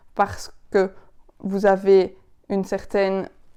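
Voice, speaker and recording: Her tone dark and mellow, a woman with a Belgian Ardennes accent speaks at a medium pitch in a very clean recording with a silent background. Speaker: public speaking coach. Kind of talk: tutorial. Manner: expressive, varied intonation.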